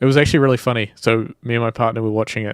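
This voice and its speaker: A New Zealand accent with monotone, flat intonation in a dry, close sound with no echo. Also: man. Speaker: indie game developer streamer. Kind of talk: casual live stream chat. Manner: casual, rambling with fillers.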